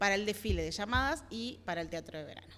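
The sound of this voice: A woman with a fairly bright tone talks at a fairly quick pace, using ordinary pitch variation.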